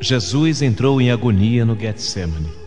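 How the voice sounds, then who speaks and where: This man talks at a fairly slow pace with a medium pitch. Music plays in the background. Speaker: radio announcer; voice-over artist for commercials. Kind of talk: dramatic religious narration.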